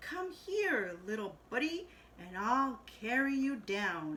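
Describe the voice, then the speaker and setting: A woman performs a put-on character voice, raised and projected, high-pitched with very wide swings. She goes at a very slow pace over clear background noise. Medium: read story.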